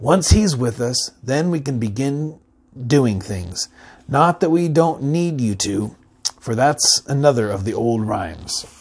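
Intonation is lively in this clip. The speaker is a man going at a fairly slow pace. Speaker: reader of a children's novel. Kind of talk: reading aloud a story. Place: home room. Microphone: lapel.

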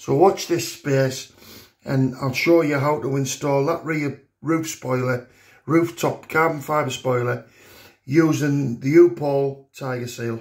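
At a very slow pace and against a quiet background, a man talks with a fairly high pitch, fairly even intonation, and a somewhat breathy voice. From England. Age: 50s. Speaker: car enthusiast youtuber. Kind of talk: tutorial. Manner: hesitant with many fillers. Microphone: phone near.

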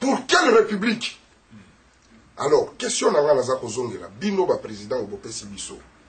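A man speaks at a moderate pace with big swings in loudness and long, frequent pauses. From DR Congo. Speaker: audience member, civil society activist; audience member. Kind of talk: audience question, French and Lingala. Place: office.

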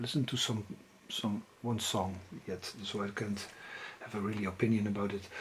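A man with a Dutch accent talks at a moderate pace. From Netherlands. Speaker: music collector and video blogger. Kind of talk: casual video monologue about music purchases. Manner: halting. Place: home room. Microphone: phone near.

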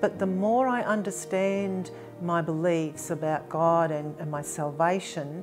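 Clear music plays behind a woman speaking at a very slow pace. Her pitch is fairly low, with ordinary variation. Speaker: churchgoer sharing testimony. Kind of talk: interview answer. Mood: warm, earnest, reflective. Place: home room.

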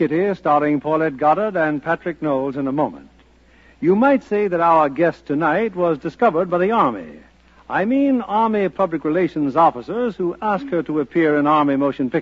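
Pitched high, a man talks at a fairly quick pace with lively intonation. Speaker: radio host. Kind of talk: 1940s radio interview, scripted and polished. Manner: formal, suave, courteous. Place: studio. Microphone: old recording.

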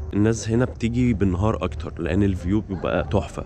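With noticeable background noise and a dry sound with no echo, a man speaks at a fairly low pitch and a moderate pace. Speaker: travel vlogger. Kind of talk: casual vlog chat. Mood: cheerful, relaxed. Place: cafe. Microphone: phone near.

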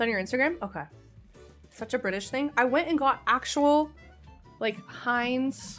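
A woman with a high-pitched voice at a moderate pace, faint music in the background. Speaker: streamer. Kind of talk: casual live stream chat. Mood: playful, mildly disgusted. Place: home room. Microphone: studio mic.

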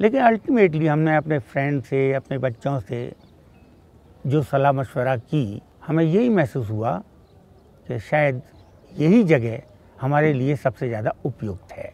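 A man's dark, mellow tone at a fairly high pitch, with lively intonation and long, frequent pauses. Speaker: retired college principal. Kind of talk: interview answer.

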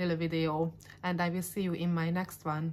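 At a moderate pace, a woman with a non-native accent speaks at a fairly low pitch. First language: not English. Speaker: YouTuber. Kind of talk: casual vlog monologue. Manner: halting, stumbling over words. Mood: warm, friendly. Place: home room. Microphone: phone near.

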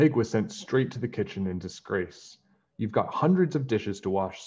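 Against a quiet background, the voice reads aloud plainly with lively intonation.

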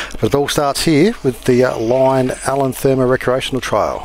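There is light background noise as a man speaks in a dry sound with no echo. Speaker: mountain bike vlogger. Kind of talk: casual vlog chat. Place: bicycle. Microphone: helmet.

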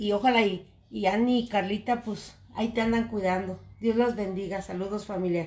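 A woman speaks with a Mexican accent. She keeps a moderate pace and fairly even intonation. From Mexico. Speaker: cooking vlogger. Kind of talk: live stream cooking chat. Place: kitchen. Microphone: phone near.

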